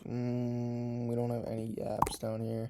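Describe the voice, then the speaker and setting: Very slowly, a man talks in a medium pitch. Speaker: futures day trader. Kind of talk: live trading commentary. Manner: casual, thinking aloud.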